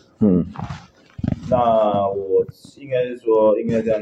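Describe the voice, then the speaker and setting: A man talks at a very slow pace. Noticeable background noise runs beneath him. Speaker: baseball strength coach. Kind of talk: interview. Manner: halting, many fillers.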